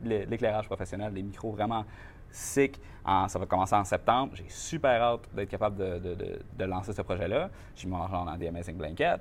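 A man at a moderate pace, fairly low in pitch, with ordinary pitch variation. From Quebec, Mauricie (Shawinigan area). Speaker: marketing entrepreneur. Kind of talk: interview. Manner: animated.

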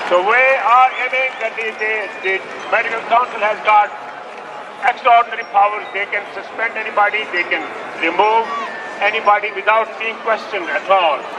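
Long, frequent pauses break up a man's raised, projected voice, pitched high with fairly even intonation. Noticeable background noise runs underneath. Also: moderate pace. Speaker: surgeon speaking at the rally. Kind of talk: rally speech. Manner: halting, non-native English.

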